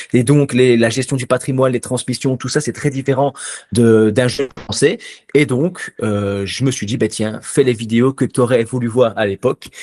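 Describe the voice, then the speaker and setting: A man with a plain, everyday voice speaks at a medium pitch and a moderate pace, with fairly even intonation. The sound is dry and close, with no echo. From Belgium. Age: 30s. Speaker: finance YouTuber and stock investor. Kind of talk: interview answers, casual explanatory.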